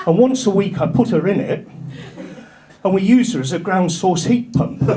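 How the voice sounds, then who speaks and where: With a North Yorkshire accent, the speaker talks at a moderate pace with lively intonation, audible room echo, and noticeable background noise. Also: man. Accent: northern English (North Yorkshire). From northern England, North Yorkshire. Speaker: stand-up comedian. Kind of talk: stand-up. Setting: stage with audience.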